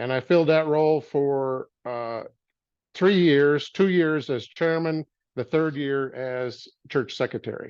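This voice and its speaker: A man with an American accent talks at a fairly slow pace and a fairly high pitch. His pitch varies in an ordinary way against a quiet background. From US Midwest (Michigan). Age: 60s. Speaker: former church member telling life story. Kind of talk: personal testimony interview. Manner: hesitant, with fillers and restarts.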